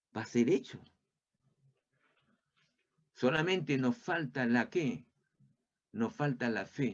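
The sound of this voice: A man at medium pitch, slow in pace, with lively intonation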